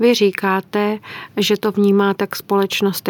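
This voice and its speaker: The sound is dry and close, with no echo. A woman talks at a moderate pace with a medium pitch. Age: old. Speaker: sexologist and psychologist. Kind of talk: interview.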